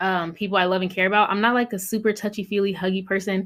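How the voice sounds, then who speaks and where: Fairly quick in pace, an ordinary speaking voice comes through on a very clean recording with a silent background. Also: woman. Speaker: podcast co-host. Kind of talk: casual chat.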